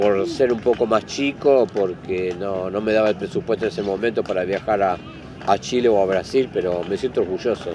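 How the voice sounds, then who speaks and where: With noticeable background noise, a man in an Argentine accent speaks at a moderate pace, fairly low in pitch, with ordinary pitch variation. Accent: Rioplatense Argentine Spanish. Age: 60s. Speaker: football club historian and fan. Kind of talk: interview. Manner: halting.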